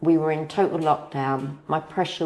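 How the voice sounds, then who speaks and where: A woman speaks with a southern English accent. Her pace is moderate. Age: 60s. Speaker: patient. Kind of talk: testimony.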